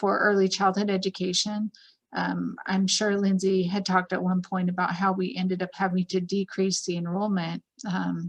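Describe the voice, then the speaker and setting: In a medium pitch and a monotone, flat intonation, a woman speaks at a moderate pace with a somewhat breathy sound. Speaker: school district administrator. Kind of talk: virtual open house panel talk.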